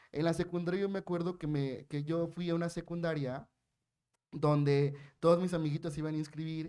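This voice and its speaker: Over a quiet background, a man talks at a fairly quick pace with a fairly high pitch and ordinary pitch variation. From Yucatán, Mexico. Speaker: human rights lawyer, blind; panelist. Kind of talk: panel discussion. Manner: talkative, animated. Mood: warm, humorous. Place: hall. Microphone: podium.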